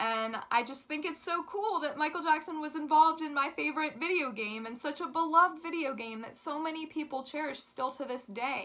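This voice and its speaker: A woman speaks in a raised, projected voice at a high pitch, with ordinary pitch variation. Her tone is upbeat and she leaves hardly any pauses. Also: fairly quick pace. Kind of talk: casual talk to camera. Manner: lisp.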